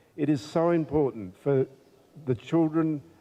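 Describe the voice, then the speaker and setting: A man with an Australian accent and a dark, mellow tone speaks at a fairly slow pace with ordinary pitch variation. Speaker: politician. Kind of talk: formal speech. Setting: community event with audience. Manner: halting, many fillers.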